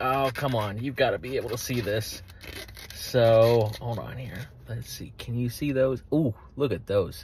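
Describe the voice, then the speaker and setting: Dry and free of echo, a man's voice moves at a fairly slow pace with ordinary pitch variation. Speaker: food vlogger. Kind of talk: casual food review vlog. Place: car. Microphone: phone near.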